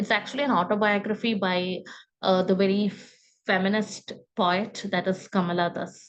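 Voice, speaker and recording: At a moderate pace, a woman with a Keralan accent and a medium pitch speaks in a monotone, flat intonation. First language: Malayalam. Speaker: book reviewer at a literary forum. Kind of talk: book review talk. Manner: halting, many fillers.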